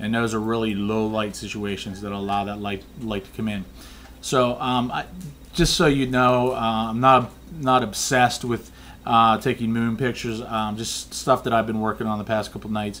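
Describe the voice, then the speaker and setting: Medium-pitched and fairly even in intonation, a man speaks at a moderate pace. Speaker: amateur photographer. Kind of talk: casual tutorial. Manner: monotone; hesitant, many fillers.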